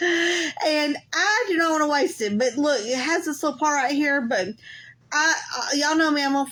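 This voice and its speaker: Projecting her voice, a woman speaks in a Southern US accent. Her tone is bright and sharp. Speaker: crafter. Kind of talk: live craft tutorial. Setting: Facebook live stream. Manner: casual, chatty.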